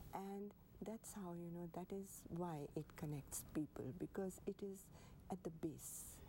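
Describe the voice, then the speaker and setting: A woman speaks with an Indian accent in a dark, mellow tone at a fairly low pitch. Her intonation stays fairly even. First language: Hindi. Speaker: poet and artist. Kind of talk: TV interview. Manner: halting.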